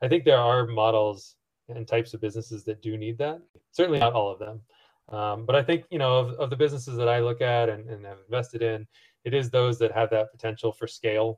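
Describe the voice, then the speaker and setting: The speech is very fast and somewhat breathy, in a Midwestern American accent. Intonation stays fairly even. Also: man, medium pitch for a man. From US Midwest, rural Missouri. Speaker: entrepreneur and angel investor. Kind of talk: interview. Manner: halting, with many repetitions and fillers.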